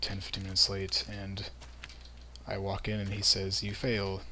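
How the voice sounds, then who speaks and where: Against noticeable background noise, a man talks at a moderate pace with a fairly low pitch. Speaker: gaming commentator. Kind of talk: casual gameplay commentary. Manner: words run together.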